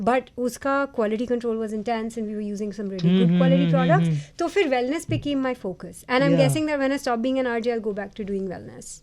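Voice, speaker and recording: The intonation is lively. There are hardly any pauses. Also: woman, fairly high pitch for a woman. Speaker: radio jockey. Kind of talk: interview answer.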